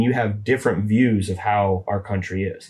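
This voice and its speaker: A man with an American accent speaks with a fairly low pitch and fairly even intonation. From US West, Boise Idaho. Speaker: host father of exchange student. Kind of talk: casual interview chat. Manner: hesitant, many fillers.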